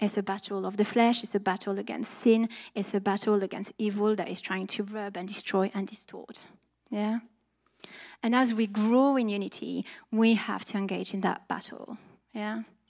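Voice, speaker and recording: A woman with a French accent talks at a moderate pace in a medium pitch and a monotone, flat intonation, on a very clean recording with a silent background. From France. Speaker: church preacher. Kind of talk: sermon. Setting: church.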